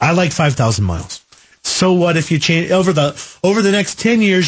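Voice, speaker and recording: This man's voice carries a somewhat breathy edge. He talks fairly fast and his intonation is lively. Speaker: radio car show host. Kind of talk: call-in radio show. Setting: radio studio.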